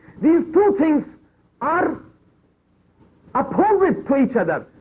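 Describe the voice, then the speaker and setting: A man with a Pakistani accent. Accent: South Asian (Pakistani) English. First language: Urdu. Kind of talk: religious lecture.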